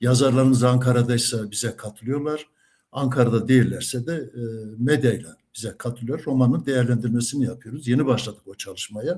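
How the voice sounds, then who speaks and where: This man speaks at a fairly quick pace in a medium pitch, his dark, mellow tone somewhat breathy, with fairly even intonation and big swings in loudness. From Central Anatolia, Kırşehir (Kaman). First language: Kurdish (speaking Turkish). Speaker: retired teacher, Kurdish language teacher. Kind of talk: interview. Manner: hesitant, many filler sounds.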